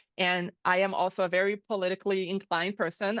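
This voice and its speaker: Speaking at a fairly quick pace, a woman keeps a medium pitch with monotone, flat intonation. She has a Portuguese accent. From Brazil. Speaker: chief of staff. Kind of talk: interview. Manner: casual.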